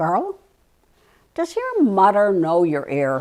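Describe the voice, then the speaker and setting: A woman does a put-on character voice at a medium pitch, speaking at a very slow pace. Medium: stage play.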